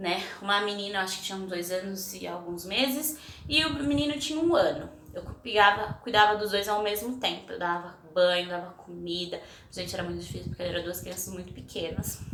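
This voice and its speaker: Over noticeable background noise and audible room echo, the voice carries lively intonation and big swings in loudness. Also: woman, medium pitch for a woman, fairly quick pace. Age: 20s. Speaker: vlogger. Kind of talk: casual personal storytelling vlog. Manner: chatty, conversational.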